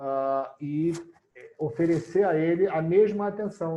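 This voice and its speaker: The man's voice is fairly high in pitch, with a dark, mellow tone. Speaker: mediator and lecturer. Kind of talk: lecture.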